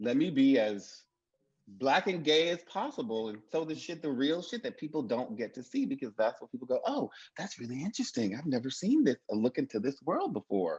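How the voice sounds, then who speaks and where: In a Mississippi accent, a man with a fairly high voice talks fairly quickly with very wide pitch swings, the sound dry and close with no echo. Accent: US South, Mississippi. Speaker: TV writer. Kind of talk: panel discussion.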